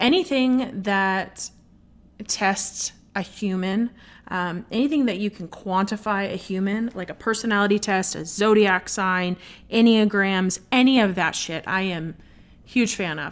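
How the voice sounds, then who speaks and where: This woman has an unremarkable speaking voice, medium in pitch with ordinary pitch variation. She talks at a fairly slow pace in a very clean recording with a silent background. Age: 30s. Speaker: podcast host. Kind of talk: casual monologue. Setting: at home late at night. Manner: relaxed, light.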